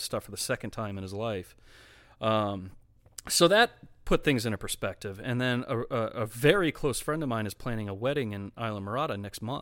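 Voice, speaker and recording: A man's bright, sharp voice at a fairly quick pace, with ordinary pitch variation, in a very clean recording with a silent background. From Florida, Volusia County (moved from Detroit area at 13). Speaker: small business owner. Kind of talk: casual chat.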